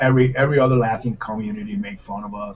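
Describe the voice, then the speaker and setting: A man talks at a medium pitch, somewhat breathy, with ordinary pitch variation. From Puerto Rico. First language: Spanish. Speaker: chef. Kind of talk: casual chat. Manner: fast when relaxed.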